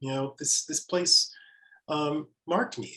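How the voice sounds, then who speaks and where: Somewhat breathy, a man with an American accent speaks at a fairly high pitch and a fairly slow pace. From Mississippi, Piney Woods. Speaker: author. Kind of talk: panel conversation.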